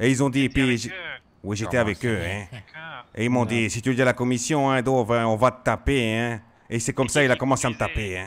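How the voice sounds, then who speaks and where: Putting on a character voice, a man speaks in a whiny tone at a medium pitch and a fairly quick pace, with fairly even intonation and long, frequent pauses. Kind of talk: comic caricature roleplay. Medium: game stream. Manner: whiny, insistent, ends nearly every phrase with a drawn-out "hein".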